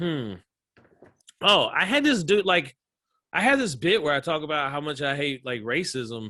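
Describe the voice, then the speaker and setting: Lively intonation and a bright, sharp tone come through in a Southern US accent. The speech has long, frequent pauses. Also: man, fairly high pitch for a man, moderate pace. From US South, small-town Georgia. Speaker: comedian. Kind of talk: casual chat.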